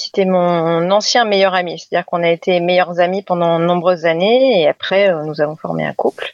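A woman speaks at a medium pitch and a moderate pace. Hers is an unremarkable speaking voice. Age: 40s. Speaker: teacher. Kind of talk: personal testimony.

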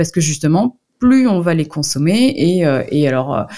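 This woman has a fairly low-pitched voice. Her tone is dark and mellow. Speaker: nutritionist and book author. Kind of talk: radio interview. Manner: hesitant, many fillers.

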